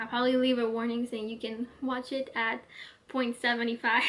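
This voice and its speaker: A woman speaks in a high pitch with flat, monotone intonation. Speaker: video essayist. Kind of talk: casual monologue to camera. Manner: fast; casual, filler-heavy.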